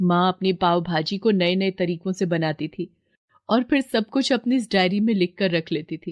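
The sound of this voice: A woman with a fairly low pitch and ordinary pitch variation speaks in a slightly mellow tone, the sound dry and close with no echo. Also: moderate pace.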